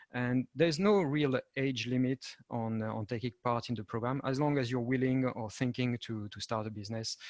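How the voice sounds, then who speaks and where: A man's medium-pitched voice with a French accent, at a moderate pace and fairly even intonation, dry and close with no echo. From France. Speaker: European project manager and entrepreneur. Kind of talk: panel presentation. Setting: video call. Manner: halting, many fillers.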